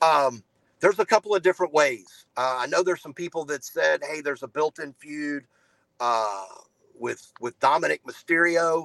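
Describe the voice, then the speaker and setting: In a dry, close sound with no echo, a man with an ordinary speaking voice and a fairly high pitch talks at a moderate pace, showing ordinary pitch variation and big swings in loudness. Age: 40s. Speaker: entertainment editor, wrestling commentator. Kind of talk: casual chat.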